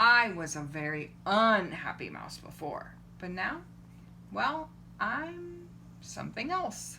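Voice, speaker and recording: A female-sounding voice does a put-on character voice at a fairly slow pace, with long, frequent pauses over clear background noise. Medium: read story. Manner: fretful.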